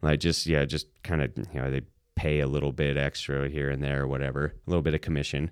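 In an American accent, a man speaks very fast at a very deep, low pitch with monotone, flat intonation. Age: 30s. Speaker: head brewer, former navy corpsman. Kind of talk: casual interview.

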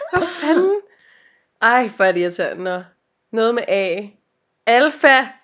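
Speaking very slowly with long, frequent pauses, a woman uses a high pitch that makes very wide swings. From Denmark, North Zealand (Helsinge). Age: 20s. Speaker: podcast co-host. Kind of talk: casual chat. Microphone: laptop microphone.

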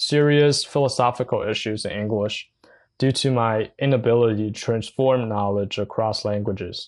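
Speaking at a moderate pace with a Chinese accent, a man keeps a medium pitch and fairly even intonation over a quiet background. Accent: Mandarin Chinese-accented English. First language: Mandarin Chinese. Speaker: podcaster. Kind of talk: personal monologue. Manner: halting.

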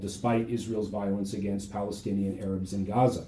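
A man with an American accent speaks at a moderate pace in a dark, mellow tone. His voice is somewhat breathy, with audible room echo. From US Midwest, Ohio. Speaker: history professor. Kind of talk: interview. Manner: halting, many fillers and repetitions.

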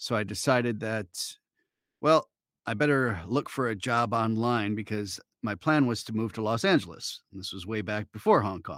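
Medium-pitched male voice at a moderate pace, with ordinary pitch variation and big swings in loudness, in a very clean recording with a silent background and a dry, close sound with no echo. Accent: Midwestern American. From Michigan, Detroit suburbs. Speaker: voice actor. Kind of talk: interview. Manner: casual, hesitant with fillers.

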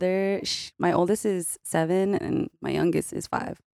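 Very slow speech from a woman in a Californian accent, medium pitch, fairly even intonation, and a dry, close sound with no echo. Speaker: podcast guest. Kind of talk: casual chat.

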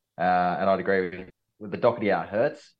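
This voice carries an Australian accent. The delivery is fairly quick. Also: man. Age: 30s. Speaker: fill-in co-host. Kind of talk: casual chat. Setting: video call.

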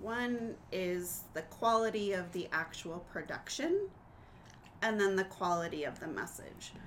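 With an ordinary speaking voice, a woman talks at medium pitch and a fairly slow pace, using ordinary pitch variation. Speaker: podcast host. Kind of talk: casual chat.

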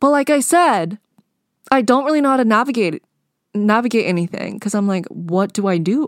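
This woman has an ordinary speaking voice with fairly high pitch. Her intonation is lively and her pace fairly quick. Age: 20s. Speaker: solo podcast host. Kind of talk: casual solo monologue. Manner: casual, rambling with fillers.

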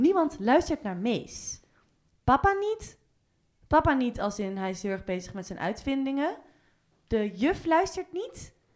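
On a very clean recording with a silent background, a woman speaks at a very slow pace with very wide pitch swings and long, frequent pauses. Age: 20s. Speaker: film club founder. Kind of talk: casual chat.

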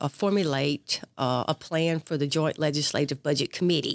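Very deep and low in pitch, a woman speaks with a Mississippi accent. Her pitch variation is ordinary. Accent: Southern US (Mississippi). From US South, south Mississippi (Perry County). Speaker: retired army colonel and veterans board member. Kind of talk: interview about her military career.

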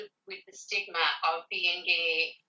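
Speaking with an Irish accent, a woman talks at a fairly slow pace. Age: 40s. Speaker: community organiser. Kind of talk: interview. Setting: at home.

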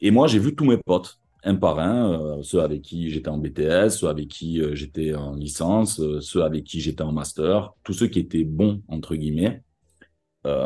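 In a strong Marseille accent, a man speaks at a fairly slow pace in a very deep, low voice with a dark, mellow tone and ordinary pitch variation, against a quiet background. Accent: thick Marseille. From Marseille, southern France. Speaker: advertising copywriter. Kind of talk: interview. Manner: animated.

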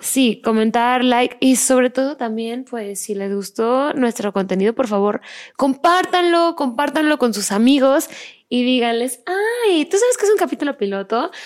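At a fairly slow pace, a woman speaks at a high pitch with lively intonation. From Mexico. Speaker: podcast host. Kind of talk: casual chat.

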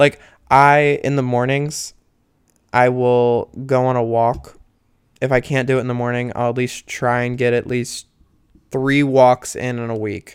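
At a fairly slow pace, a man speaks at a medium pitch in a monotone, flat way, with long, frequent pauses. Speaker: solo podcaster. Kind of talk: casual monologue. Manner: rambling with many fillers.

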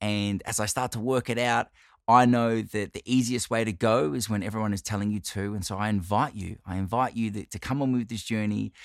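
An animated man with an Australian accent, fairly low pitch and fairly quick pace, on a very clean recording with a silent background. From Australia, Italian-Australian family. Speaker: podcast host. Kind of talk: monologue, personal storytelling.

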